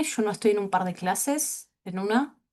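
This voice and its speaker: A woman talks at a fairly slow pace and medium pitch. She has an ordinary speaking voice. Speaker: teacher. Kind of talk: online class.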